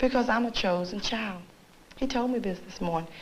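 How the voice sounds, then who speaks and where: A woman whispers, soft-spoken, at a fairly quick pace. Room echo is audible. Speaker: psychiatric patient. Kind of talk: clinical interview. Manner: whispering.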